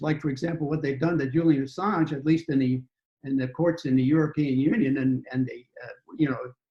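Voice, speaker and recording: A man talks at a fairly quick pace with a fairly high pitch. His voice is somewhat breathy, and his intonation stays fairly even. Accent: American. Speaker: former government official. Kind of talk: casual interview chat. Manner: halting.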